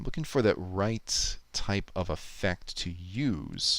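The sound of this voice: A man speaks at a slow pace with vocal fry. His pitch makes big swings. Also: fairly bright tone.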